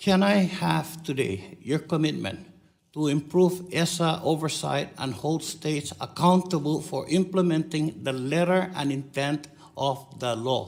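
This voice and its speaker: A man speaks in a Guam accent at a fairly slow pace. His pitch is fairly high. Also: ordinary pitch variation. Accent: Pacific Islander (Chamorro) English. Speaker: congressman questioning a witness at a hearing. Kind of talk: committee hearing questioning. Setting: congressional hearing room. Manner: insistent, interrupting.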